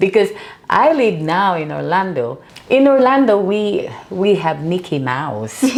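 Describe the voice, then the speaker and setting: A woman's medium-pitched voice with very wide pitch swings at a fairly slow pace, amid audible room echo and noticeable background noise. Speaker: author and burn survivor. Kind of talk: interview.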